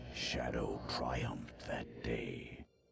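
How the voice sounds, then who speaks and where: A man uses a put-on character voice at a very slow pace. Clear music plays in the background. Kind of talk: epic fantasy lore speech. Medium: game stream. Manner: imperious, slow and solemn.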